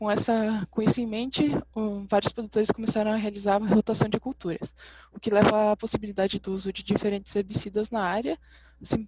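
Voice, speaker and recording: A woman speaks fairly quickly. Her intonation is fairly even. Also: dry sound with no echo. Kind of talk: academic presentation. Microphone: webcam.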